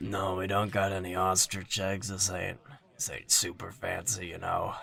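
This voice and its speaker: Putting on a character voice, a man speaks in a raspy, fairly low register at a moderate pace. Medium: actual play. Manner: blunt, casual, slangy.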